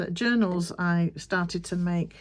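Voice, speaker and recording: Over noticeable background noise, a woman with a Yorkshire accent speaks at a fairly low pitch with monotone, flat intonation. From Yorkshire, England. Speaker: crafter and video creator. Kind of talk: casual chat while crafting.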